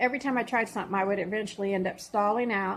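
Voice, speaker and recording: This woman has a normal speaking voice with a fairly high pitch. Her intonation is fairly even. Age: 60s. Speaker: vlogger documenting weight loss. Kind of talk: personal vlog testimony. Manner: casual with frequent fillers.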